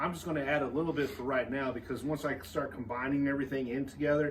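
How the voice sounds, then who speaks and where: With noticeable background noise and audible echo in the room, a man with a fairly high pitch speaks at a very fast pace. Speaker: barbecue company cook and presenter. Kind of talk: cooking tutorial. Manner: casual, energetic.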